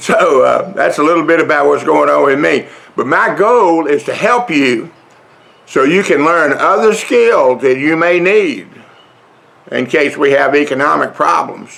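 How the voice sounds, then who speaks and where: Fairly slow and very even in loudness, a man speaks. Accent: Southern US. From US South. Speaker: vlogger. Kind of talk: casual vlog talk. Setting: outdoors on front porch. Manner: slow, drawling.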